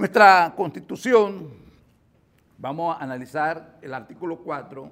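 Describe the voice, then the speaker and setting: A man talks at a fairly high pitch. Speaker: lawyer and forum speaker. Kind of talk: lecture. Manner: halting.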